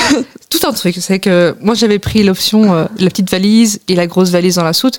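A woman with an unremarkable speaking voice speaks at medium pitch. Her pitch variation is ordinary. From France. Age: 20s. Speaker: returning European volunteer. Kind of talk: radio interview.

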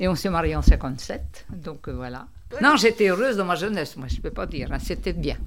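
A woman talks at a moderate pace, her loudness swinging widely, with audible echo from the room. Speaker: senior centre member. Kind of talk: casual chat.

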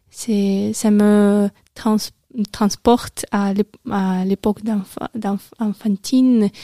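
In a dry, close sound with no echo, a woman speaks very slowly in a dark, mellow tone with monotone, flat intonation and long, frequent pauses. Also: medium pitch for a woman. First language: Russian (speaking French). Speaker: radio co-host and French language student. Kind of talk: casual radio chat. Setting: radio studio. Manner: halting, hesitant.

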